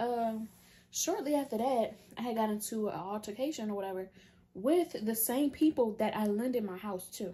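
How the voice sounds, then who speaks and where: A woman speaks at a fairly slow pace and fairly high pitch. Her voice is somewhat breathy, with ordinary pitch variation. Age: 20s. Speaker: content creator. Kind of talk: casual storytime talk to camera. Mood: animated, exasperated storytelling. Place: home room. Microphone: phone near.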